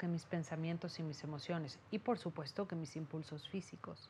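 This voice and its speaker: This woman's voice is somewhat breathy, with a dark, mellow tone. She speaks in a calm, soothing tone. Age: 40s. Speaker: therapist and meditation teacher. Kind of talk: interview testimony. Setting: her office.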